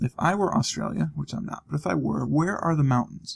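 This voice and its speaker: A man with an American accent speaks at a moderate pace. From US, Ohio. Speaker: gaming video commentator. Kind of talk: let's play commentary. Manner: casual, self-talking.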